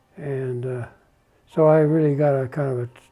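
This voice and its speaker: Music in the background behind a man with an American accent, fairly high pitch, fairly even intonation and a moderate pace. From US Midwest, Illinois. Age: 80s+. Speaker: landscape architect. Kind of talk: oral history interview. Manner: halting, with many fillers and repeats.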